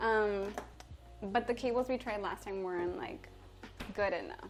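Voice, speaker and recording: Music plays behind a woman who speaks with a Spanish accent at medium pitch and a moderate pace, with ordinary pitch variation. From Mexico. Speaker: chef and livestreamer. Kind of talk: live-stream cooking chat. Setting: home kitchen live stream. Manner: casual and chatty.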